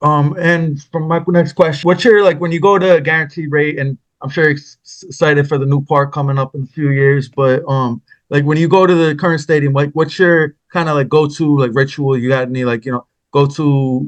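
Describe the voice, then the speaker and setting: Speaking with an East Coast US accent, a man talks at a fairly quick pace. His pitch sits fairly high and his intonation stays fairly even. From New York. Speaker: podcast host. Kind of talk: casual interview chat.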